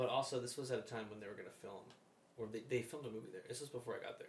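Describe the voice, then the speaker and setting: With an American accent, a man of medium pitch sounds somewhat breathy and shows ordinary pitch variation. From New Jersey. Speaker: navy veteran. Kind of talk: casual chat. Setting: studio.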